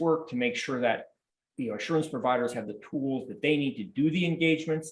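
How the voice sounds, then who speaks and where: With lively intonation, a man speaks in a normal speaking voice pitched fairly high. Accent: American. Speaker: accounting standards expert. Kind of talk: panel discussion.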